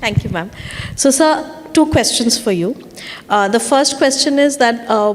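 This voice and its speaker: A woman with a Bengali accent speaks at a moderate pace in a high pitch, her lively intonation broken by long, frequent pauses over noticeable background noise. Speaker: panel moderator. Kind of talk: panel discussion. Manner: halting, many fillers.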